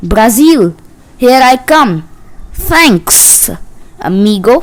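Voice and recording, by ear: Using a put-on character voice, a woman speaks very slowly at a high pitch with very wide pitch swings and a hissing sound.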